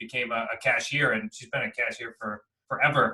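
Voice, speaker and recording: A man speaks with an American accent. His pace is fairly quick. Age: 30s. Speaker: real estate investor and coach. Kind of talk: interview. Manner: fast.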